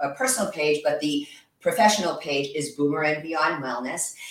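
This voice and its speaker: Her pitch is very deep and low. The woman talks at a moderate pace. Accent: American. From New York. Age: 60s. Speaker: yoga instructor and massage therapist. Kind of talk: guided exercise instruction.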